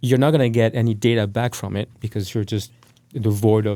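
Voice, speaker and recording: The voice has a dark, mellow tone and ordinary pitch variation. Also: man. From France. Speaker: tech startup CEO. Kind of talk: podcast interview.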